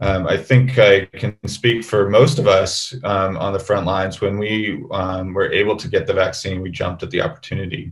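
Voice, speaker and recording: A man speaks at a moderate pace in a fairly low, somewhat breathy voice. His pitch varies in an ordinary way. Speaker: emergency physician. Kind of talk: webinar panel discussion. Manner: halting, many fillers.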